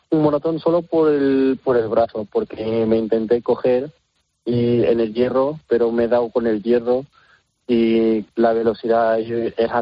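At a fairly slow pace, a man speaks in a medium pitch with fairly even intonation and very even loudness. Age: young. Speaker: circus trapeze artist. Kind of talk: interview. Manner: halting.

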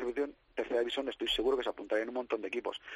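Recorded with a dry, close sound and no echo, a man with a medium pitch speaks at a very fast pace. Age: 40s. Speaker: esports league project manager. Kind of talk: radio interview.

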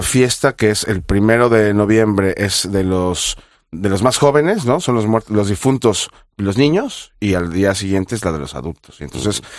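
A man with a plain, everyday voice speaks fairly slowly at a fairly low pitch with ordinary pitch variation. The recording is very clean, with a silent background. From Mexico, Mexico City. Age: 40s. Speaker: chef. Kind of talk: interview.

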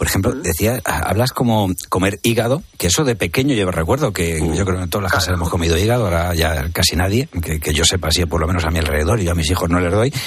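A man with a very deep, low pitch talks at a very fast pace with hardly any pauses, ordinary pitch variation and very even loudness. Noticeable background noise runs underneath. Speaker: radio host. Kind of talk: radio magazine interview. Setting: radio studio.

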